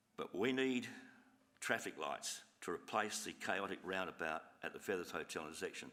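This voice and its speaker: The speaker is a man. He has an Australian accent. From Australia, Adelaide (Burnside, South Australia). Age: 70s. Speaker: resident addressing council. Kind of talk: public address to council meeting. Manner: halting.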